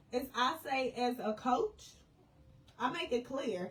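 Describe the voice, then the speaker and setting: With noticeable background noise behind her, a woman speaks in an animated tone at a high pitch. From US Midwest, St. Louis. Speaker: life and business coach. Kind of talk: live stream talk to viewers. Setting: live video stream. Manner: casual, animated.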